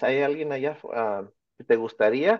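Here is a man with a plain, everyday voice, pitched fairly high. He talks at a fairly slow pace. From Orange County, California (Mexican family from Michoacán). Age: 50s. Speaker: teacher and children's author. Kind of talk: interview.

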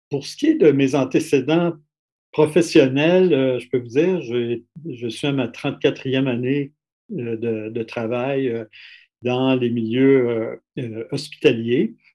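With a Quebec accent, a man talks at a very slow pace in a medium pitch, his pitch varying in an ordinary way and his speech broken by long, frequent pauses. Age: 60s. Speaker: critical care doctor. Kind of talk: testimony.

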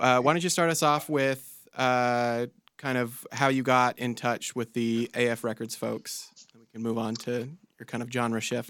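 A man in an American accent, with medium pitch and an unremarkable speaking voice, talks at a fairly slow pace with fairly even intonation and big swings in loudness, on a very clean recording with a silent background. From California, Central Coast. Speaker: music manager and co-host. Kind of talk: casual chat.

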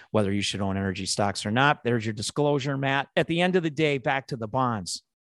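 Against a quiet background, a man with a Chicago accent talks at a fairly quick pace with ordinary pitch variation. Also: dry, close sound with no echo. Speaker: investment manager, co-host. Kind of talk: casual chat, podcast discussion. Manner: joking, playful.

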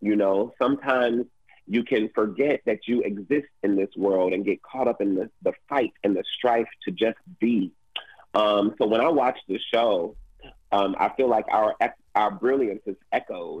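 A plain, everyday voice with an American accent, ordinary pitch variation and a fairly slow pace. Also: man, medium pitch for a man. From Detroit, Michigan. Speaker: actor. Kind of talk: casual interview. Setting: radio studio.

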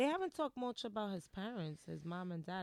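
Speaking with an American accent, a woman uses ordinary pitch variation. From New York area, Dominican family. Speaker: podcast co-host. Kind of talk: casual chat.

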